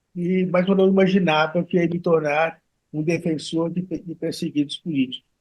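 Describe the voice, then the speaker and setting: The speech keeps a medium tempo. Its pitch stays monotone and flat. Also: man, high pitch for a man. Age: 80s+. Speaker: criminal defense lawyer. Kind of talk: interview testimony. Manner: halting, many repetitions.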